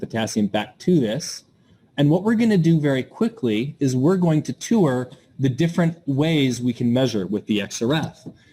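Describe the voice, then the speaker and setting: This man's fairly high voice is somewhat breathy, with a dark, mellow tone and lively intonation. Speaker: workshop presenter. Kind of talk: lecture. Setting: outdoors; webinar.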